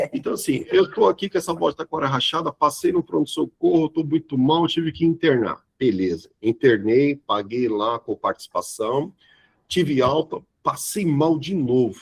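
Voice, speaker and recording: The man's voice carries vocal fry at a fairly high pitch. He talks at a moderate pace, with a dry, close sound and no echo. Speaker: insurance sales trainer. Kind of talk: live training webinar. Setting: online live stream. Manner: animated.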